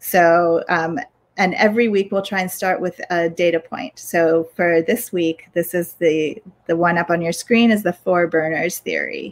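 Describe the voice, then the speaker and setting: A woman has an ordinary speaking voice at a fairly low pitch and hardly pauses. The recording is very clean, with a silent background. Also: ordinary pitch variation. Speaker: podcast host and workplace culture consultant. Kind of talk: casual chat. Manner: informal, filler-heavy.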